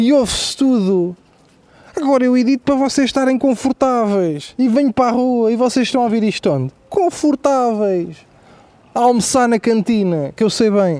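Delivered at a moderate pace with lively intonation and very even loudness, the speech comes over noticeable background noise. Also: man, extremely high pitch for a man. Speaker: comedian. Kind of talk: comedic monologue. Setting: outdoors. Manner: animated.

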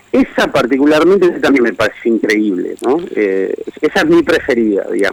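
Speaking at a fairly quick pace with very even loudness, this voice comes over noticeable background noise. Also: man. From Argentina, Greater Buenos Aires. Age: 40s. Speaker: writer. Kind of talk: radio interview.

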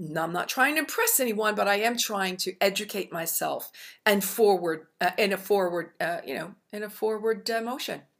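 A woman talks at a moderate pace with hardly any pauses. Her pitch is medium with ordinary variation. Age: 60s. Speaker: self-esteem author and coach. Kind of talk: interview. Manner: halting.

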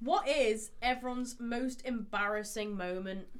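A loud, high-pitched woman's voice with lively intonation. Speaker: podcast co-host. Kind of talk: casual chat. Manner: animated.

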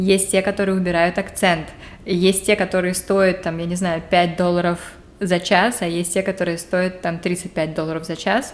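In a monotone, flat intonation, a woman keeps to a moderate pace. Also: medium pitch for a woman. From Saint Petersburg, Russia. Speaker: podcast co-host. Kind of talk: casual chat.

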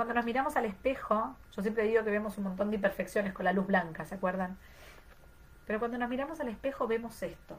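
This woman's voice sits at a medium pitch and sounds somewhat breathy, with ordinary pitch variation. Audible room echo surrounds her. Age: 30s. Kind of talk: online class lecture.

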